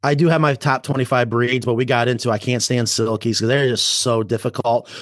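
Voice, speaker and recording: At a very fast pace with hardly any pauses, a man at medium pitch keeps his loudness very even. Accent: American. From upstate New York (Rochester). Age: 40s. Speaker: chicken coop business owner. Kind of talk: casual interview chat. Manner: animated.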